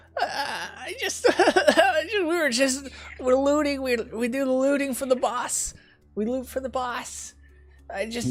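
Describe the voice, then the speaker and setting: A man's raspy, put-on character voice, extremely high in pitch, at a fairly slow pace over faint music in the background. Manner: pleading, frightened.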